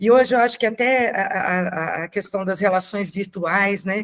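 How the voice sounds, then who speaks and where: Her pitch varies in an ordinary way as the woman talks at a moderate tempo. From Brazil, Brasília. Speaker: adoptive mother and invited speaker. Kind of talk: talk to support group.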